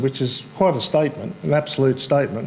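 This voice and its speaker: Against noticeable background noise, a man speaks with an Australian accent. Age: 60s. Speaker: cancer survivor and support group volunteer. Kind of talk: talk to audience. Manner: casual.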